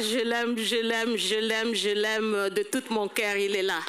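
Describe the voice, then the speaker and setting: Her voice sits fairly high, and the intonation stays fairly even. There is noticeable background noise behind this woman. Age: old. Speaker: church elder at a seniors' banquet. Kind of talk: testimony. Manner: halting.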